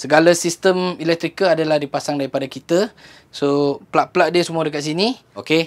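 Pitch sits fairly high for a man. He speaks at a fairly quick pace.

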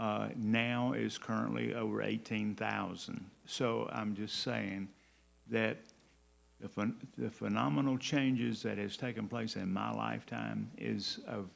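Talking at a fairly slow pace, a man speaks with a Southern US accent. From US South, Georgia (Fairburn). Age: 70s. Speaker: city council member. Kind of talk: council meeting remarks.

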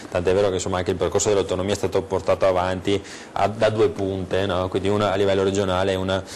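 A man speaks at a very fast pace with a very deep, low pitch. His intonation is monotone and flat, with light background noise behind him. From Veneto, Italy. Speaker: regional politician. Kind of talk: TV political debate. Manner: halting, repeats words. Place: studio. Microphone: lapel.

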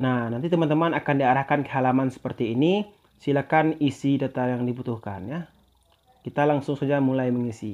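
Talking at a fairly quick pace, a man at a medium pitch has a plain, everyday voice with ordinary pitch variation. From Indonesia, West Sumatra. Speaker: YouTuber. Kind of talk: tutorial.

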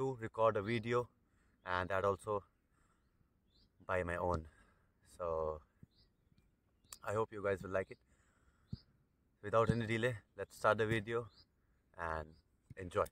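Dry, echo-free audio of a man with a fairly low pitch, at a moderate pace with fairly even intonation and long, frequent pauses. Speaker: international student vlogger. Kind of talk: casual vlog chat. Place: open country. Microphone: earbuds.

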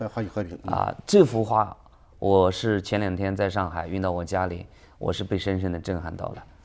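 A man speaks at a moderate pace in a very deep, low pitch. His intonation stays fairly even. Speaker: businessman; interview guest. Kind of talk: interview. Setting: studio. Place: studio. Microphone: lapel.

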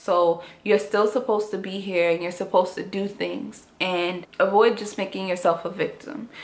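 A woman's medium-pitched voice at a moderate pace, with fairly even intonation. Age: 20s. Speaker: YouTuber. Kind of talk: personal vlog testimony. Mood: earnest, serious, reflective. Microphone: phone near.

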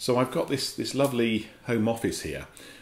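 A man is the one talking. His accent is English. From England. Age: 50s. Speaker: company director and vlogger. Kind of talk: casual vlog monologue. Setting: home office. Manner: hesitant, with fillers. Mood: wry, good-humoured. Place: office. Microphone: camera far.

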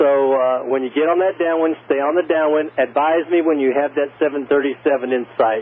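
A man speaks at a fairly quick pace. His pitch is fairly high, and his intonation is fairly even.

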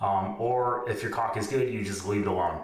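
A man speaks at a fairly quick pace with fairly even intonation. Audible room echo surrounds his voice. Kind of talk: tutorial. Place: bathroom.

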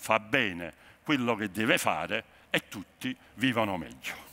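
Very slowly, a man speaks in a bright, sharp tone with vocal fry. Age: 60s. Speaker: sociologist; conference speaker. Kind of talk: keynote speech. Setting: stage with audience. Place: hall.

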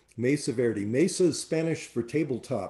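Against a quiet background, a man speaks at a fairly slow pace in a dark, mellow tone with ordinary pitch variation. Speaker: tour director. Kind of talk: webinar presentation. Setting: online webinar. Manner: enthusiastic. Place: home room. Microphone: webcam.

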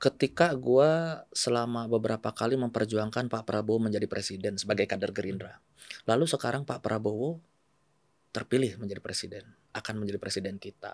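This man talks at a fairly quick pace. His pitch varies in an ordinary way. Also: quiet background, dry sound with no echo. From West Java (Bandung), Indonesia; West Java, Indonesia. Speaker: politician, former journalist. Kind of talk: casual interview. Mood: calm, earnest. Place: studio. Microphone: studio mic.

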